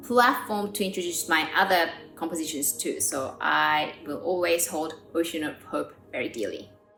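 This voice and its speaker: A woman's fairly low voice at a moderate pace, with music in the background. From Korea, raised in Australia. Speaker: pianist and composer. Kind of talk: interview answer.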